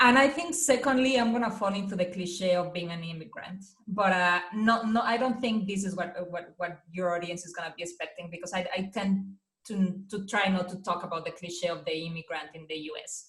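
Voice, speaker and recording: With a Spanish accent, a woman at medium pitch talks at a fairly quick pace, showing ordinary pitch variation and big swings in loudness. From Mexico. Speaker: marketing director. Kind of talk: podcast interview. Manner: halting, many repetitions.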